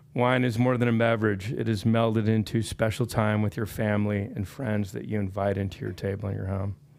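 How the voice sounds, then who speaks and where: In a plain, everyday voice, a man speaks at a fairly quick pace with fairly even intonation and a fairly low pitch. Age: 60s. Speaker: public commenter at county meeting. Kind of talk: public comment speech.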